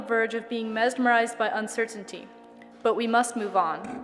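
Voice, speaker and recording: A woman talks at a fairly quick clip while music sounds behind her. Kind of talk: dramatic reading of a historic speech.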